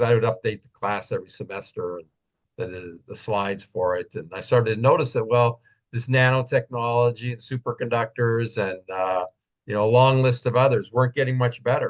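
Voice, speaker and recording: An ordinary speaking voice at a fairly quick pace, with big swings in loudness and fairly even intonation. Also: man, medium pitch for a man. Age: 60s. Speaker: professor and technology analyst. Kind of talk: interview webinar talk.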